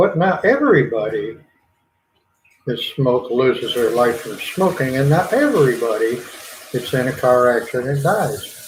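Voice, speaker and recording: With a Southern US accent, a man speaks at a moderate pace and medium pitch in a relaxed tone with lively intonation, amid audible room echo. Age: 70s. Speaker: gardening channel host. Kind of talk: casual livestream chat. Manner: relaxed, rambling.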